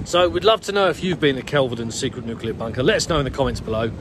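A man speaks at a very fast pace, the sound dry with no echo but with noticeable background noise. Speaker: vlogger. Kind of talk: casual vlog chat. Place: forest. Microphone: phone near.

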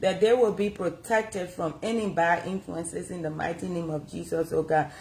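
A somewhat breathy woman with a dark, mellow tone, ordinary pitch variation and a moderate pace. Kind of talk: prayer. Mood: fervent earnest prayer. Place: home room. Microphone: phone near.

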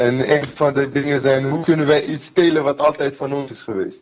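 Against a quiet background, a man with a fairly high voice speaks fairly slowly and with fairly even intonation. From Kurdistan. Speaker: fighter. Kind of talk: interview. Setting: video call. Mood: earnest, sometimes smiling. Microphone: video call.

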